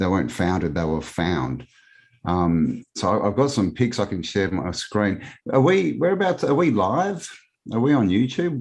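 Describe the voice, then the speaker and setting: With an Australian accent, a man with a fairly low pitch talks in very wide pitch swings against a quiet background. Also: moderate pace. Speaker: alternative history researcher. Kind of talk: casual interview.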